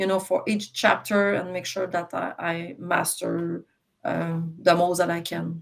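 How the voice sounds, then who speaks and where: She speaks with a French accent. Her pace is fairly slow. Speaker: successful exam candidate. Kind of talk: interview. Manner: halting, many repetitions and fillers.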